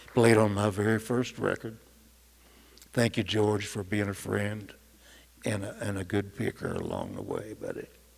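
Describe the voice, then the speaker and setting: A man with a West Texas accent, fairly low in pitch, with monotone, flat intonation and long, frequent pauses. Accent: West Texas drawl. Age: 70s. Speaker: musician. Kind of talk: acceptance speech. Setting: stage with audience.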